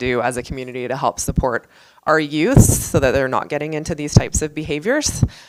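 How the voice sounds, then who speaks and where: Amid noticeable background noise, a woman speaks very fast at a very deep, low pitch with fairly even intonation. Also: big swings in loudness. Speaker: police officer. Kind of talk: lecture.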